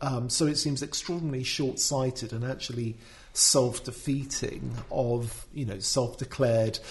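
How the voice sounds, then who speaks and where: Fairly slow speech in a British accent, with fairly even intonation. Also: man. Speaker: commentator. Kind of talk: casual discussion of an article. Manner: hesitant, filler words.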